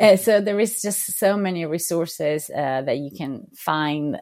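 A woman with a Portuguese accent speaks with ordinary pitch variation on a very clean recording with a silent background. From Brazil. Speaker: freelance graphic designer. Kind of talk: interview. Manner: halting, frequent repetitions.

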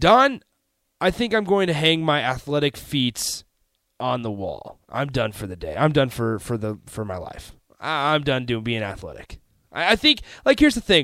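A man's fairly high, bright, sharp voice at a moderate pace, with very wide pitch swings and big swings in loudness, on a very clean recording with a silent background. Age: 20s. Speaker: sports radio host. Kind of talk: sports talk radio. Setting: radio studio.

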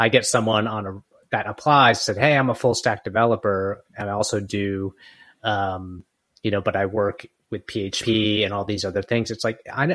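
A man's fairly low voice holds fairly even intonation in a very clean recording with a silent background. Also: moderate pace. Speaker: podcast co-host and business owner. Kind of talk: casual chat. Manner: halting, many fillers.

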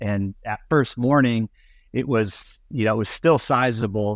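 A man with an American accent talks at a moderate pace in an unremarkable speaking voice. His pitch sits fairly low. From US Midwest and Florida. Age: 50s. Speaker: windsurf sail and wing designer. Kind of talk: casual interview. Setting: remote call from home.

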